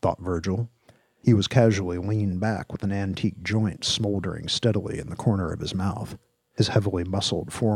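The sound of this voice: Fairly even intonation marks an unforced reading voice, with quiet all around.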